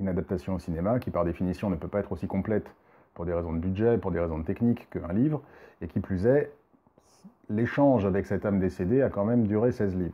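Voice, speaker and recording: Speaking at a very fast pace, a man uses a fairly low pitch with ordinary pitch variation. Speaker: spiritual medium and film commentator. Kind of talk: casual video review monologue. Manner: hesitant, many fillers.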